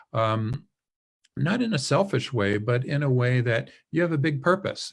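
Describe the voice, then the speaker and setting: A somewhat breathy man of medium pitch against a quiet background. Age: 60s. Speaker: professor. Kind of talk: webinar Q&A. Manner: casual, conversational with fillers.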